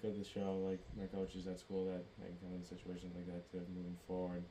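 A man with a Boston accent speaks in a very deep, low voice and a flat monotone, with noticeable background noise. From Massachusetts. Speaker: college baseball player. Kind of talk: casual chat.

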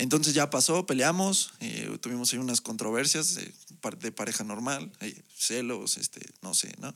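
A man speaks with vocal fry. His intonation is lively. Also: medium pitch for a man, moderate pace, very clean recording, silent background. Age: 20s. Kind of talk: testimony. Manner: halting, with frequent repetitions.

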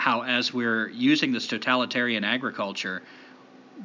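Reading aloud in an unforced voice

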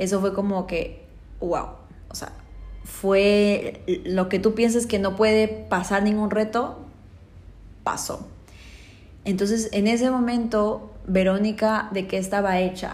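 Very slow and somewhat breathy, a woman speaks in a flat monotone with long, frequent pauses and audible room echo. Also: medium pitch for a woman. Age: 20s. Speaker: life coach and podcast host. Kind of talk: motivational monologue.

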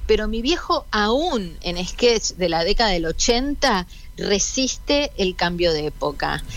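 A woman's fairly high voice in a Rioplatense accent, very slow, with very wide pitch swings. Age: 40s. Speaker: daughter of a late comedian. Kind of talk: radio interview.

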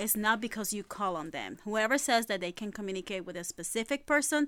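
A woman's bright, sharp, medium-pitched voice with lively intonation and a fairly quick pace, in a very clean recording with a silent background. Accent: Puerto Rican. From Puerto Rico and Brooklyn, New York. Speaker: spiritual medium and ghost hunter. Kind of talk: casual chat.

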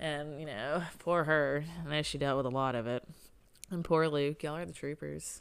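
A woman talks with a Southern US accent at a very deep, low pitch. Her intonation is fairly even and her pace moderate. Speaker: podcast co-host. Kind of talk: casual chat.

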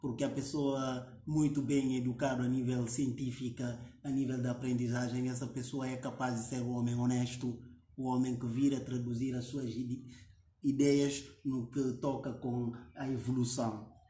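At medium pitch, a man speaks at a fairly slow pace with monotone, flat intonation, in a somewhat breathy voice with a dark, mellow tone. Audible room echo surrounds the recording. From Guinea-Bissau. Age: 20s. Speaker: youth activist. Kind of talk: interview conversation.

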